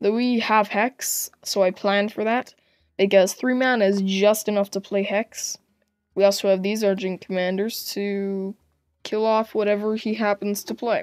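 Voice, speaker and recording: Recorded dry and close with no echo against a silent background, a woman speaks at a moderate pace with a medium pitch. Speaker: gaming video creator. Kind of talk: gameplay commentary. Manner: animated.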